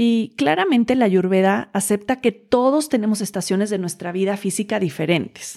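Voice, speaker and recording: With hardly any pauses, a woman speaks at a moderate pace in a medium pitch, her dark, mellow tone showing ordinary pitch variation in a very clean recording with a silent background. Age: 30s. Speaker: podcast host and Ayurveda wellness teacher. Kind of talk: solo podcast monologue. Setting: home.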